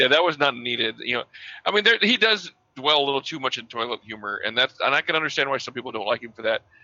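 A man races along at a very fast pace with a medium pitch. His intonation is lively, and his loudness swings widely. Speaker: podcast co-host. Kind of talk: casual banter podcast chat.

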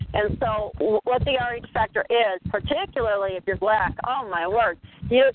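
A woman's fairly high voice in an American accent at a moderate pace, with ordinary pitch variation; a plain, everyday voice. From Minnesota. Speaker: caller. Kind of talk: call-in group discussion. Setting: phone conference call.

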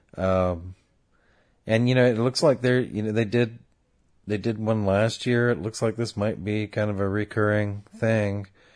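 A man with an American accent and a plain, everyday voice speaks at a fairly low pitch and fairly slow pace. His intonation is fairly even, and the background is quiet. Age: 30s. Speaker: podcast co-host. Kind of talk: casual chat.

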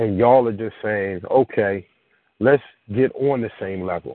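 The speaker has an American accent and moves at a moderate pace. Pitch varies in an ordinary way. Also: man. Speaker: caller. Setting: phone call.

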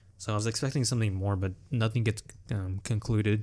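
Delivery is at a moderate pace with ordinary pitch variation. The voice sounds somewhat breathy. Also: man. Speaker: podcast host. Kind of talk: casual chat.

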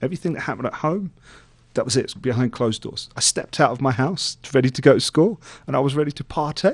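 The speaker talks at a very fast pace with a London accent. Pitch varies in an ordinary way. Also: man. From England, East London. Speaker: motivational speaker. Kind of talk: interview testimony. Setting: studio.

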